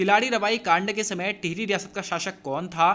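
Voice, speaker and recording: A raised, projected voice with fairly even intonation. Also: man. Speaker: exam coaching teacher. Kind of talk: tutorial.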